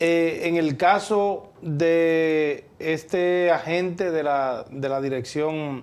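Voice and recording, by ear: A man speaks with a slightly mellow tone and ordinary pitch variation.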